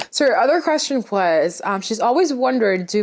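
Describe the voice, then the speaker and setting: Speaking at a fairly quick pace, a woman with a non-native accent uses lively intonation. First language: not English. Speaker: interior decorator and YouTuber. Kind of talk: casual Q&A vlog. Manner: casual, filler-heavy.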